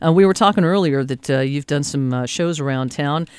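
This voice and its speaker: With an ordinary speaking voice, a man talks at a fairly high pitch and moderate pace with lively intonation, in a very clean recording with a silent background. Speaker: radio host. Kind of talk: radio interview. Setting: studio.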